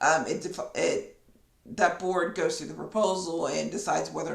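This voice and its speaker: The woman's moderate pace carries over noticeable background noise. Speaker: business consultant, CEO; podcast host. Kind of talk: casual podcast talk.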